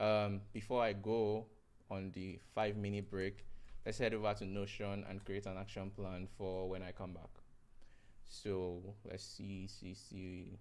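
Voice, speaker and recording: A man's fairly low, monotone voice, flat and fairly slow, with audible room echo. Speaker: software developer live-streaming. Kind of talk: live coding stream. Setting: live stream. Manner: mumbling; halting.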